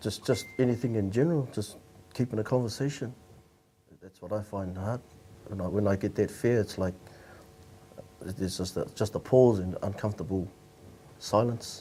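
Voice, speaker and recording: A man mumbles in a somewhat breathy, fairly low voice with a dark, mellow tone and a New Zealand accent. His pitch varies in an ordinary way, with long, frequent pauses. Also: moderate pace. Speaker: panel guest. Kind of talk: casual group discussion. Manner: mumbling, halting.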